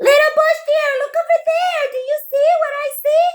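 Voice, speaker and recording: Putting on a squeaky character voice, a woman talks at a moderate pace with extremely high pitch. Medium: read story. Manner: sly, wheedling.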